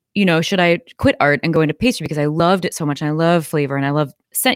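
Very fast and with a very deep, low pitch, a woman talks in an American accent on a very clean recording with a silent background and a dry, close sound with no echo. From US Midwest. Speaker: ice cream company founder. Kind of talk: interview.

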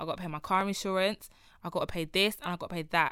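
A woman with a London accent and fairly even intonation. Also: very clean recording, silent background. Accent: London Multicultural English. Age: 20s. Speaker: podcast host. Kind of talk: casual chat.

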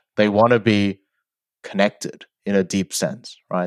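Speaking at a fairly slow pace, a man with an Australian accent has a fairly low pitch, heard as a dry, close sound with no echo. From South Korea, then Sydney, Australia from age eight. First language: Korean. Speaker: debate champion and author. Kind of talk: interview conversation.

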